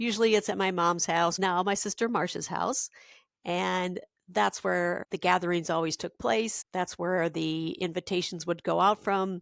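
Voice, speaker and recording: An unremarkable speaking voice from a woman with an American accent, fairly low in pitch at a moderate pace, in a dry, close sound with no echo and a very clean recording with a silent background. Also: ordinary pitch variation. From Minnesota. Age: 60s. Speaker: podcast host. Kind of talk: personal monologue.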